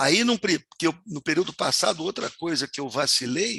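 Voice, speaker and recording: A man uses a raised, projected voice with a bright, sharp tone. The background is quiet. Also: dry, close sound with no echo. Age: 70s. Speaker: university professor. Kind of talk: lecture.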